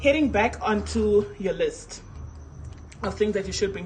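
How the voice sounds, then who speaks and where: A woman's voice over noticeable background noise. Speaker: casting director. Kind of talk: live stream information session. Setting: live stream on social media. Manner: casual, chatty.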